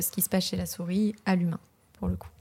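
Medium-pitched and somewhat breathy, a woman's dark, mellow voice with a southern French accent. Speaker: PhD student in neuroscience. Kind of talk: casual interview.

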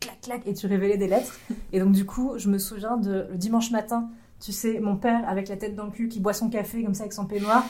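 Noticeable background noise sits behind the recording. A woman speaks in a monotone, flat way. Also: medium pitch for a woman, fairly quick pace. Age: 30s. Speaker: YouTuber and escape room game master. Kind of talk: casual interview chat. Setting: recorded at a games festival.

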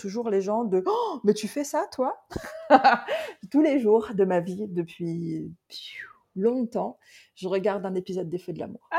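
Speaking at a fairly slow pace with long, frequent pauses, a woman with a fairly high pitch uses lively intonation and big swings in loudness. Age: 40s. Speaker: Ayurveda consultant. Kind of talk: casual interview.

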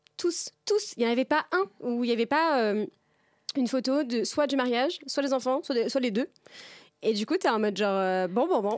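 In a very clean recording with a silent background and a dry, close sound with no echo, a woman speaks at a high pitch with lively intonation. Her loudness stays very even, broken by long, frequent pauses. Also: moderate pace. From France, Tours region. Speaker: podcast host. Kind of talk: casual chat.

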